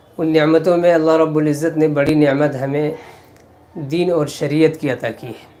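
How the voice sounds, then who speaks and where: A man's fairly high, monotone, flat voice shows big swings in loudness. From India. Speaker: Islamic cleric. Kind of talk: religious sermon.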